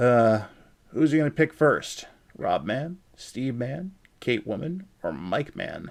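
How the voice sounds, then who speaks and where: Very wide pitch swings at a very slow pace. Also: man, medium pitch for a man. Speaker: streaming show host. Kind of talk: casual chat. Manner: takes breaks from talking.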